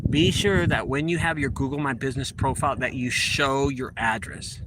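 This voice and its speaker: Amid noticeable background noise and audible room echo, a man with a fairly high pitch speaks at a fairly slow pace with lively intonation. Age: 40s. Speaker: junk removal business owner. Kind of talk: casual vlog talk, business tips. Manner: casual, repetitive.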